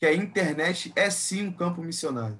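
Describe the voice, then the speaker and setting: Lively intonation carries the speech along at a moderate speed. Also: man. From Brazil, Rio de Janeiro area (Nilópolis). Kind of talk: casual chat.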